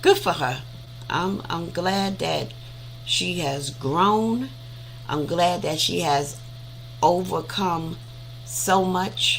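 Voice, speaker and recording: A woman speaks at a very slow pace, with long, frequent pauses. The room echo is audible. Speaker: audiobook reader on a live stream. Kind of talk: casual chat after reading aloud. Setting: live stream. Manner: conversational, with hesitations.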